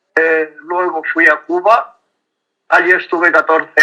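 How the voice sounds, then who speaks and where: A man speaks at a very slow pace. He has a Castilian accent. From Castile, Spain. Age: 90s. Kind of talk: interview. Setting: WhatsApp call.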